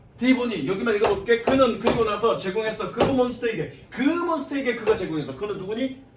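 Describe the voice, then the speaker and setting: A man speaks at a moderate pace with a high pitch and lively intonation, with audible room echo and noticeable background noise. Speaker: English teacher. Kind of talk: lecture.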